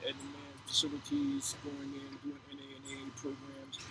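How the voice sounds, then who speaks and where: A man with an American accent talks at a moderate pace and fairly high pitch, amid noticeable background noise. His intonation is monotone and flat. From New Jersey, Orange. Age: 60s. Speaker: author. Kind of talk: casual interview.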